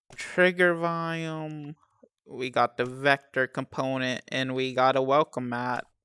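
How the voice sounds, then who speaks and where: In a very clean recording with a silent background, a woman speaks fairly slowly with a very deep, low pitch. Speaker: game streamer. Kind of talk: live game stream tutorial. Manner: monotone.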